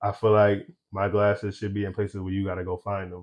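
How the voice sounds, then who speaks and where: This man talks at a very fast pace in a fairly low pitch. His intonation is monotone and flat over a quiet background. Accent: American. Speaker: eyewear brand founder. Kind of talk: podcast interview. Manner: loud.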